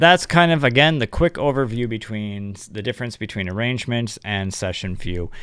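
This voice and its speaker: Mumbling at a moderate pace, the speaker makes very wide pitch swings and big swings in loudness, the sound dry with no echo against a quiet background. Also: man. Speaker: music production youtuber; music production host. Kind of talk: tutorial. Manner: halting. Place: home room. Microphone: studio mic.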